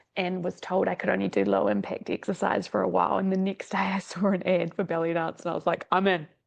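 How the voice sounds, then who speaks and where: Speech moves at a fairly quick pace over a quiet background. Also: woman. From New Zealand. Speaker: exercise scientist and dance teacher. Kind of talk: podcast interview.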